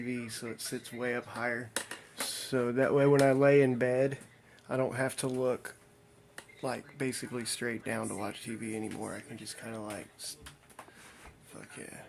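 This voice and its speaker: A man with an American accent and medium pitch speaks fairly slowly in a flat, monotone way, his loudness swinging widely over noticeable background noise. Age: 40s. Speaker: streamer. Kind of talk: casual chat. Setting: livestream.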